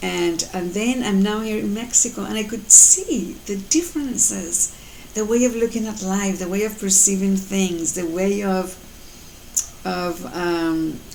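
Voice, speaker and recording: Over noticeable background noise and audible room echo, a woman speaks at a fairly slow pace. Her pitch is medium and varies in an ordinary way. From Colombia. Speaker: mother and life coach vlogger. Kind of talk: motivational talk to camera. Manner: halting, many fillers.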